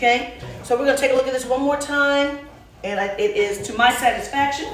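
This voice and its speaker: A woman with a high voice speaks at a fairly quick pace with ordinary pitch variation. Audible room echo and noticeable background noise surround her. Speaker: home cooking show host. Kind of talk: casual cooking tutorial. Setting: home kitchen.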